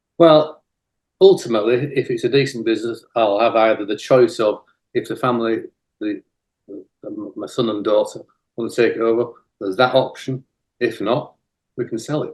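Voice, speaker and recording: Speaking in a Yorkshire accent, a man keeps a moderate pace broken by long, frequent pauses. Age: 50s. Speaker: cleaning business owner. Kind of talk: interview.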